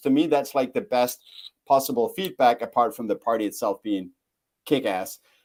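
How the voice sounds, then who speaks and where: A man's dark, mellow voice with a non-native accent and lively intonation, at a moderate pace, in a very clean recording with a silent background. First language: not English. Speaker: bitcoin event organizer. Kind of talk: podcast interview. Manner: halting, many fillers.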